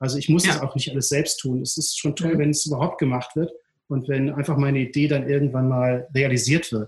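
A man with a fairly high pitch and a somewhat breathy voice, at a fairly quick pace with fairly even intonation. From Ruhr area, Duisburg-Rheinhausen. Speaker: entrepreneur, city beach operator. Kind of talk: casual interview. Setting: video call. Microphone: poor sound quality.

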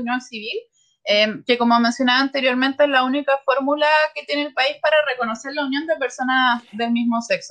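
A woman speaks in a high voice at a fairly quick pace. Her intonation stays fairly even. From Chile. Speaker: sociologist. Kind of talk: expert interview.

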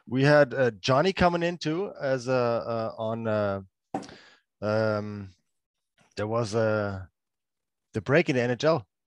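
Pausing often and at length, a man with a German accent speaks fairly slowly at a medium pitch with lively intonation, the sound dry and close with no echo. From Germany, Freiburg. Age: 30s. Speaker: former pro ice hockey player, grocery store owner. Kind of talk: casual chat interview. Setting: remote call. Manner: halting, many fillers.

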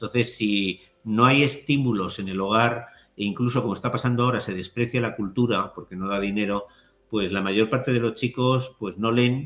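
Here a man uses an ordinary speaking voice at a medium pitch. His pace is moderate and his intonation fairly even. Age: 60s. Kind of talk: interview conversation.

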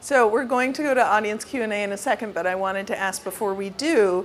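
A woman with a plain, everyday voice talks at a fairly quick pace, her medium pitch showing ordinary pitch variation. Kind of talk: moderated interview. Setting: stage with audience at store event.

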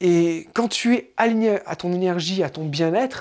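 A man speaks with a high pitch. His pitch variation is ordinary. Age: 30s. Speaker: podcaster. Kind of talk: improvised solo monologue. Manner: halting, many fillers.

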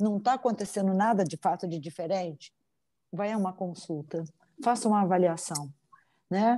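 A woman with a dark, mellow tone speaks at a medium pitch and a moderate pace, with ordinary pitch variation and long, frequent pauses. The recording is very clean, with a silent background. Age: 50s. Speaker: psychologist and psychoanalyst. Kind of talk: interview.

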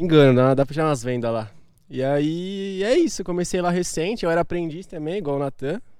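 A man talks at a fairly quick pace in a normal speaking voice. His pitch is fairly high for a man. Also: lively intonation. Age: 20s. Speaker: physiotherapy student and salesman. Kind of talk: casual chat.

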